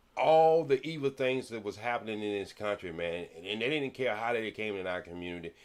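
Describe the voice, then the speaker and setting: Lively intonation from a man at a moderate pace, in a very clean recording with a silent background. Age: 60s. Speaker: comedian. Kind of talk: casual chat.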